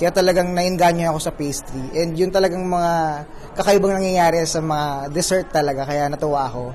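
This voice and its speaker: A high-pitched man's voice, fairly even in intonation, with audible room echo. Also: fairly quick pace. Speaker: pastry chef. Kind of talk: interview.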